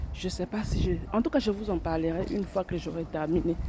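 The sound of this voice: With a dark, mellow tone and a fairly low pitch, a woman speaks at a fairly quick pace.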